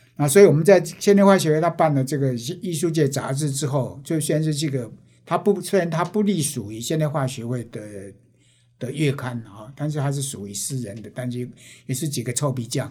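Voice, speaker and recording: This man talks at a fairly quick pace with a fairly high pitch, lively intonation, big swings in loudness, a dark, mellow tone and a somewhat breathy sound. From Taiwan, Penghu. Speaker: artist and retired teacher. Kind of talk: interview.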